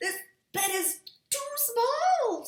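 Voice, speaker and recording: A woman puts on a squeaky character voice at an extremely high pitch, with a slight echo. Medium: read story. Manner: picky, judging each thing in turn.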